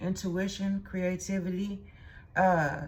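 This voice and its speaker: With an American accent, a woman speaks at a fairly low pitch. Her voice is somewhat breathy. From Texas. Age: 40s. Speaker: tarot reader. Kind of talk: tarot reading. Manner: casual, conversational.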